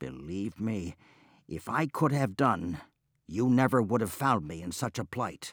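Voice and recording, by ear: Reading aloud in a natural voice, with lively intonation against a quiet background.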